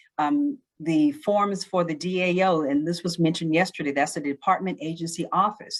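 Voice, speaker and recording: A woman's fairly low voice with lively intonation and hardly any pauses, on a very clean recording with a silent background. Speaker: government employee presenting at a training conference. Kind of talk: training presentation. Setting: virtual conference. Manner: fast; animated.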